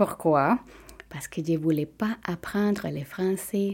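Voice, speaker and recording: A woman speaks with a Spanish accent in a dark, mellow tone at a fairly low pitch. The recording is very clean, with a silent background. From Venezuela. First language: Spanish (speaking French). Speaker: physiotherapist. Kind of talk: personal testimony.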